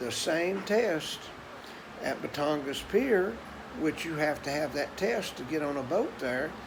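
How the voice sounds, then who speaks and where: A man with a Tennessee accent speaks at a high pitch, fairly slowly, with lively intonation. Audible room echo and noticeable background noise fill the recording. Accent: Southern US (Tennessee). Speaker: vlogger. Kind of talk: casual monologue.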